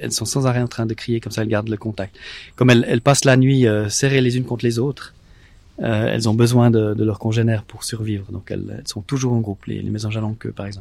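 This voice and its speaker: Over a silent background in a very clean recording, a man talks very fast in a monotone, flat intonation. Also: medium pitch for a man. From Switzerland, Vaud. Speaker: ornithologist. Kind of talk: interview. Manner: halting.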